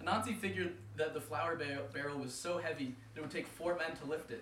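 Against noticeable background noise, a man talks at a very fast pace. His pitch is fairly high, with ordinary pitch variation. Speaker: co-host and reader of a folk tale. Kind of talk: casual banter hosting, then reading a story aloud. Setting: live show with audience.

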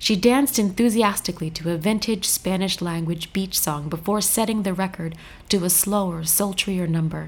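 This woman's voice is somewhat breathy, pitched at a medium level with ordinary variation, and moves at a moderate pace. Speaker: podcast host. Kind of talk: interview conversation.

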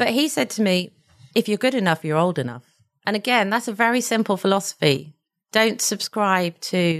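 A normal speaking voice at a moderate pace, with ordinary pitch variation against a quiet background. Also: woman. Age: 50s. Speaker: company chairman. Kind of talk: interview conversation.

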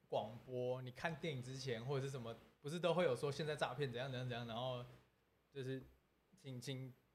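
A somewhat breathy man at medium pitch, with fairly even intonation and a fairly quick pace. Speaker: entertainer, scam victim sharing story. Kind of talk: casual livestream chat. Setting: livestream studio.

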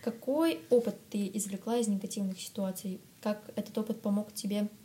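This woman uses a normal speaking voice, her pitch medium. She keeps a moderate pace with fairly even intonation. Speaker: podcast host. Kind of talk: casual interview chat.

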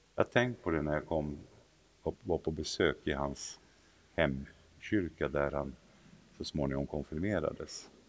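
A man with a very deep, low pitch speaks with vocal fry. He keeps a moderate pace but takes long, frequent pauses. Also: ordinary pitch variation. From Sweden, southern and central regions. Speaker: bishop. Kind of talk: interview. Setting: cathedral, live recorded conversation. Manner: halting, repeats words.

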